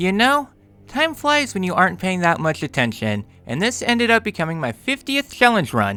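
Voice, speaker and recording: The man's voice is high in pitch, with a bright, sharp tone. He speaks at a fairly quick pace and swings his pitch very widely. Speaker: gaming youtuber. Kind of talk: scripted narration.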